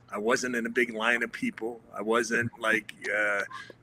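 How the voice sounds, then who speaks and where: There is noticeable background noise, yet the sound is dry and close with no echo. A man talks at a medium pitch. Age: 60s. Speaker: former football player, patient. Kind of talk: testimony. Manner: halting.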